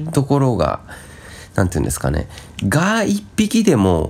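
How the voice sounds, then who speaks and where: Over noticeable background noise, a man's pitch swings very widely as he talks at a moderate speed. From Japan, Shizuoka. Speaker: podcast co-host. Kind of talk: casual chat.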